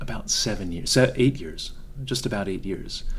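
A soft-spoken man talks with lively intonation. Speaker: podcast host. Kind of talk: interview. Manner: formal.

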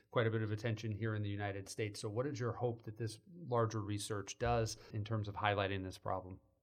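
Talking at a very fast pace, a man with a fairly low pitch sounds somewhat breathy and keeps a monotone, flat intonation in a very clean recording with a silent background. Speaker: podcast host, journalism lecturer. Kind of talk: interview.

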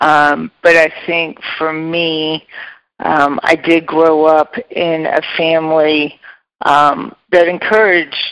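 A very deep, low female voice in a flat monotone at a very slow pace. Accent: American. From US Midwest, Chicago western suburbs. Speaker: real estate executive. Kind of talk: interview.

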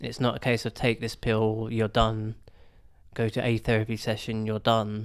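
Speaking in monotone, flat intonation, a man with a southern English accent holds a medium pitch. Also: moderate pace, very clean recording, silent background. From Hertfordshire, England. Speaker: churchgoer sharing mental health recovery. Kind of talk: testimony.

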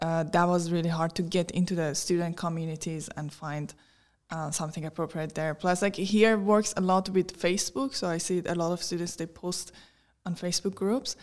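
A woman with a Persian accent, fairly low in pitch, with fairly even intonation. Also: moderate pace. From Iran. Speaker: tech worker and podcaster. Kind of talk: interview.

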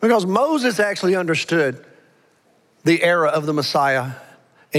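A man speaks in an American accent at a moderate pace. His pitch is fairly high, with lively intonation. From Alabama. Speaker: pastor. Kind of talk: sermon. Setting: church.

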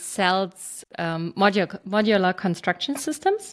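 A woman talks very slowly at a medium pitch with a German accent. Her intonation is lively. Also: very clean recording, silent background. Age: 40s. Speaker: startup founder. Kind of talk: interview.

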